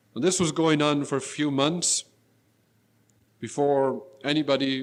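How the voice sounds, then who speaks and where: Here is a man with an unremarkable speaking voice and an American accent. His pitch is fairly high for a man, his pace fairly slow, and his intonation fairly even. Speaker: lecturer, former school principal and aid worker. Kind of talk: lecture.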